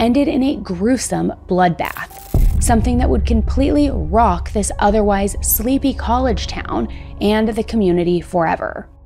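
A woman talks at a moderate pace with very even loudness. She hardly pauses, and music plays clearly in the background. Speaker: true crime narrator. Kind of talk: documentary narration. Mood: serious, somber. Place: studio. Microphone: studio mic.

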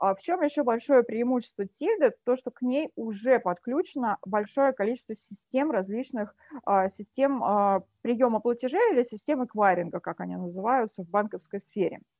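At a moderate pace, a woman speaks in a plain, everyday voice with fairly high pitch, the sound dry with no echo and the background quiet. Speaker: event organizer, self-employed; webinar presenter. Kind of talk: webinar presentation. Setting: video call. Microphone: webcam.

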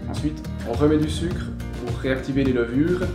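A man talks at a fairly quick pace. Music plays clearly in the background. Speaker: brewery guide. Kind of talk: informal explanation on a tour. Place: workshop. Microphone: camera far.

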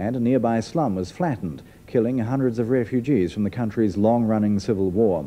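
A man speaks at a fairly quick pace with a medium pitch and lively intonation. His tone is dark and mellow. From New Zealand. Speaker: news presenter. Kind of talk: 1980s TV news narration, formal and measured, read as a year-in-review voiceover. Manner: formal, authoritative, steady and brisk. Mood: serious, measured. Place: studio.

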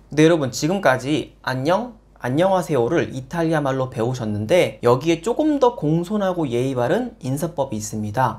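Very wide pitch swings at a moderate pace, with hardly any pauses. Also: man, fairly high pitch for a man. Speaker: Italian language teacher. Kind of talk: casual language lesson to camera. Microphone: lapel.

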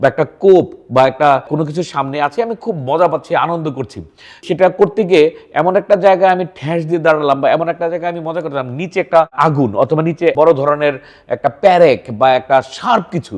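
With a normal speaking voice, a man keeps a fairly high pitch and ordinary pitch variation. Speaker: psychiatrist. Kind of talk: educational talk to camera.

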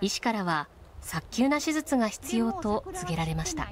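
This voice moves at a fairly slow pace with very wide pitch swings. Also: woman. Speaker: news narrator. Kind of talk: TV news feature narration.

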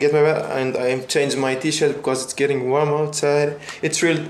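A man speaks at a fairly slow pace with monotone, flat intonation. There is audible room echo and light background noise. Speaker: vlogger. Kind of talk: casual vlog chat. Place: home room. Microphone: phone near.

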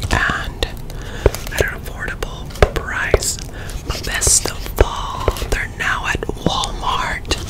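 A soft-spoken woman is whispering. She goes at a very slow pace. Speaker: product reviewer. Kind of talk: casual product review / ASMR chat. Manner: soft ASMR whisper close to mic. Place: home room. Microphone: studio mic.

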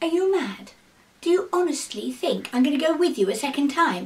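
A woman's put-on character voice with a cheerful tone. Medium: read story. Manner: brightly cheerful bluffing, then indignant.

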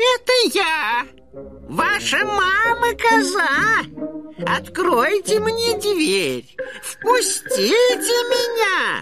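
A put-on character voice, female-sounding and extremely high in pitch, delivered at a very slow pace over loud music in the background. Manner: feigning sweetness to deceive.

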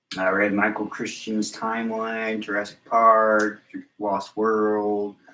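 A man's fairly low, bright and sharp voice, very slow and monotone, with flat intonation and audible room echo. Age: 20s. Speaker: stream guest. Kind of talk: casual chat. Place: home room. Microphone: camera far.

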